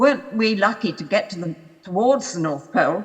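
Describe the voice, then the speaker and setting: Speaking with a British accent at a moderate pace, a woman of medium pitch makes very wide pitch swings. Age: 90s. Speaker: polar explorer. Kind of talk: public talk with audience Q&A.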